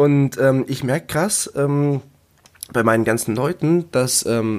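Here is a man with a normal speaking voice. His pitch sits fairly high. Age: 20s. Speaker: freelancer, project manager, podcaster. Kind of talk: casual interview chat.

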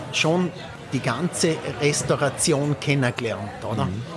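A fairly high-pitched man speaks slowly with long, frequent pauses, ordinary pitch variation and very even loudness, amid audible room echo and noticeable background noise. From Austria, Vorarlberg (Feldkirch). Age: 60s. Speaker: chef. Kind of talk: casual conversation over dinner.

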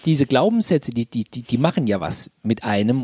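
His voice is medium in pitch for a man, with a dark, mellow tone. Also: dry, close sound with no echo. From Saarland, Germany. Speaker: motivational trainer. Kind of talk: interview.

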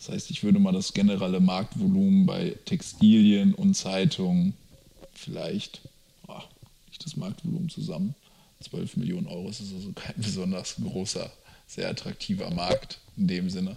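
Speaking fairly slowly, a man lets his volume rise and fall in big swings. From Lower Rhine region, Germany. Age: 30s. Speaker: startup founder. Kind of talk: interview.

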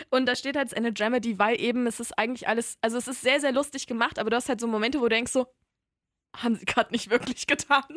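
A woman's high-pitched voice at a very fast pace. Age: 20s. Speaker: guest, gamer's girlfriend. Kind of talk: casual chat. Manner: animated.

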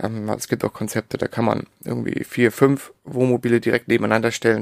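A man with an ordinary speaking voice talks at a moderate pace and medium pitch. The sound is dry and close, with no echo. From Darmstadt near Frankfurt, Germany. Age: 30s. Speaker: entrepreneur, founder of a farm-camping platform. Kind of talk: interview. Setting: separately recorded audio track.

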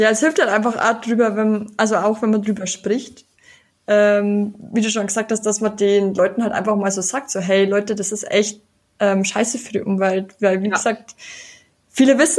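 A plain, everyday voice from a woman, medium in pitch, fairly quick, with fairly even intonation. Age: 20s. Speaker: sustainability activist. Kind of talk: casual chat.

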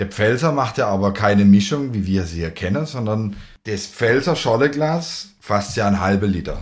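A man with a plain, everyday voice talks at a fairly slow pace. His pitch is fairly low and his intonation lively. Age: 20s. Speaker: winemaker. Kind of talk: casual interview. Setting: on location at a winery, at a table.

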